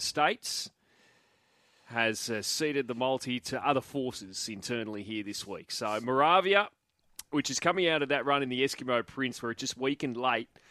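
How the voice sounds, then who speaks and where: In an Australian accent, a man with a medium pitch and a bright, sharp tone talks at a moderate pace with ordinary pitch variation, on a very clean recording with a silent background. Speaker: radio host. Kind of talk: casual chat. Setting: studio.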